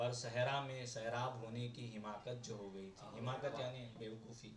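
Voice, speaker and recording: The delivery is monotone with flat intonation, and noticeable background noise can be heard. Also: man, medium pitch for a man. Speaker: poet. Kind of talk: poetry reading. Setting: open mic at a cafe.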